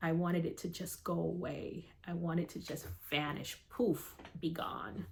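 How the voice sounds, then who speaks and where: A woman speaks at a fairly low pitch with vocal fry. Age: 50s. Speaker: army warrant officer, cancer survivor. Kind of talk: personal story told to camera.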